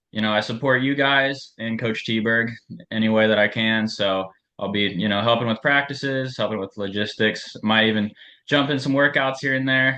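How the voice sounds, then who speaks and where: A man speaks with a Midwestern American accent. His pace is moderate and his intonation fairly even. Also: medium pitch for a man. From western Ohio. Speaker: assistant running coach. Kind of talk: team meeting.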